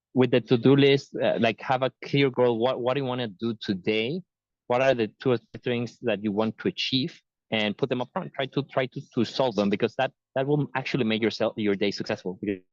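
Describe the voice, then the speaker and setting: A man talks with a normal speaking voice at medium pitch. His pace is fairly quick, with ordinary pitch variation. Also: dry, close sound with no echo. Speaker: tech talk speaker. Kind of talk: webinar presentation. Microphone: unstable connection, dropping out.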